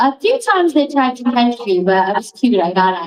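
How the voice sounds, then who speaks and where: A woman with a Long Island accent talks at a moderate pace. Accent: Long Island New York. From Long Island, New York. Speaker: recovery speaker. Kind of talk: recovery testimony. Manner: animated.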